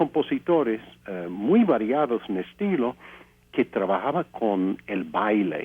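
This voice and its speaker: Very slowly and with very wide pitch swings, a man speaks at a medium pitch in an English accent. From US, Pennsylvania (Altoona). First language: English (speaking Spanish). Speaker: composer and pianist. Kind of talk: interview testimony. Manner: halting, many fillers.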